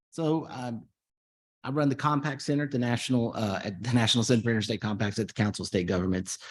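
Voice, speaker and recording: A man with an American accent talks at a very fast pace, medium in pitch with ordinary pitch variation. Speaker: policy center director. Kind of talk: conference panel presentation.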